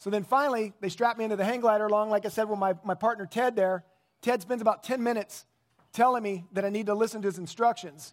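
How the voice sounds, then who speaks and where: A man talks at a very fast pace. His pitch is high and his intonation fairly even. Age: 50s. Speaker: pastor. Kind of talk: sermon.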